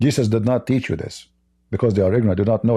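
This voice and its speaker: This voice has a dark, mellow tone, a somewhat breathy quality and a non-native accent. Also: man. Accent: foreign accent in English. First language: Arabic. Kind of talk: personal testimony; casual chat with a caller. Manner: halting, repeats words.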